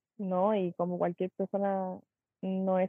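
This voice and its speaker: A woman with a Chilean accent speaks at a medium pitch. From Chile, Pichilemo. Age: 20s. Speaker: dancer. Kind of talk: interview.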